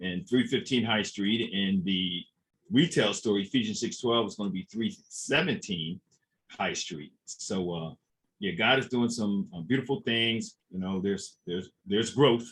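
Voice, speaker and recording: With an American accent, a man talks at a fairly slow pace in a medium pitch with lively intonation. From Trenton, New Jersey. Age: 60s. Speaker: small business owner. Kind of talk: interview. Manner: repeats words, halting.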